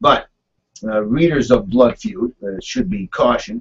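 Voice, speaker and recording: Vocal fry runs through this man's voice as his pitch swings very widely at a moderate pace. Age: 60s. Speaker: conservative talk radio host. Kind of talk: talk radio monologue. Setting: radio studio, live broadcast. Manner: halting, many fillers and repeats.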